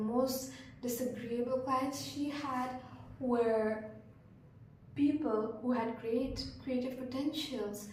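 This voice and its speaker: A soft-spoken, monotone voice with flat intonation, noticeable background noise and audible room echo. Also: woman. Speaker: vlogger. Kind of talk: casual monologue. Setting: hostel room. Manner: hesitant.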